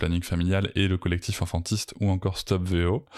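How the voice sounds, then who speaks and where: A man's very deep, low voice moves at a moderate pace with monotone, flat intonation, captured on a very clean recording against a silent background. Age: 40s. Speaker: parenting podcaster and coach. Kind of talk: personal testimony interview. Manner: hesitant, many fillers.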